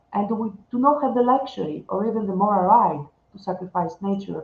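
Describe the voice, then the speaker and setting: Somewhat breathy, this voice proceeds at a moderate pace. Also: woman. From Greece. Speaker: researcher. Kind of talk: conference talk.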